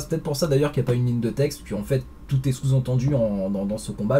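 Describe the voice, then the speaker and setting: Pitch moves in a usual way while the words come out very rapidly. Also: man. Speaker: comics reviewer. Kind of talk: video review. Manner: hesitant, many fillers.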